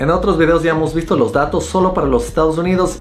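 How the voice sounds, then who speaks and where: Through noticeable background noise and audible room echo, a man talks at a fairly quick pace. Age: 30s. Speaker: software engineer and programming YouTuber. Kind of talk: tutorial.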